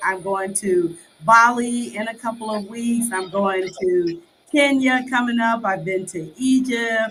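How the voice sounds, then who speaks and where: With a Chicago accent, the voice moves at a fairly slow pace and shows ordinary pitch variation. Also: woman. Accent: Chicago American English. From Chicago, US. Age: 60s. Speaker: expat guest. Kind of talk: interview conversation.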